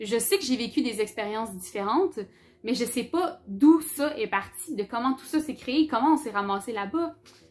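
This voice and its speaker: Her pitch is high and her intonation lively. The woman keeps to a moderate pace. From Quebec, Abitibi-Témiscamingue (Rouyn-Noranda). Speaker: book YouTuber. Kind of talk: casual vlog talk. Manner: casual, many hesitations.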